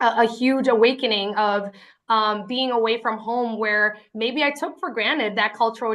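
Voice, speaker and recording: A woman's bright, sharp voice with a Spanish accent, fairly even intonation, and a quiet background. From Lynn, Massachusetts. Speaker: award honoree, city equity official. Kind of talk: acceptance speech. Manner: hesitant, many fillers.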